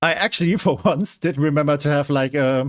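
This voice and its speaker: A man with a German accent, his voice fairly high-pitched, at a moderate pace. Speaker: streamer. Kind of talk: live gaming stream commentary. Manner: hesitant, many fillers and restarts.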